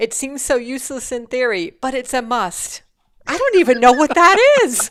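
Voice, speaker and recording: A woman speaks with a Rhode Island accent. Her voice is high and her intonation lively. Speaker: instructional design webinar co-host. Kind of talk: casual chat on a live webinar.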